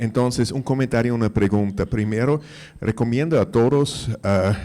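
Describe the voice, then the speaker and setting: Speaking with a non-native accent, the voice moves at a fairly slow pace with ordinary pitch variation. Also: man. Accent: foreign accent in Spanish. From Mexico, Austrian family. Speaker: audience member. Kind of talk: audience question. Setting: conference hall, handed a microphone.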